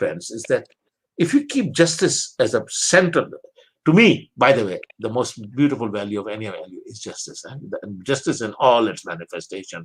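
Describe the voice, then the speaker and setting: A man's fairly high voice carries vocal fry and very wide pitch swings. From Pakistan. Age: 70s. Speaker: theology professor. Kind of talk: interview conversation. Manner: repetitive, halting restarts.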